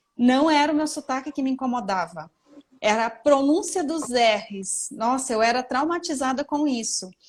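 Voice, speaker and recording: With lively intonation, a woman talks at a high pitch and moderate pace. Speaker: image consultant and interviewer. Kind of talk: casual interview chat. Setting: Instagram live stream.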